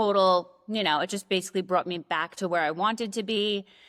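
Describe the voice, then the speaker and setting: This is a woman speaking. She has a New York accent. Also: very clean recording, silent background. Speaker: nurse practitioner and aesthetic injector. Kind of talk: casual chat.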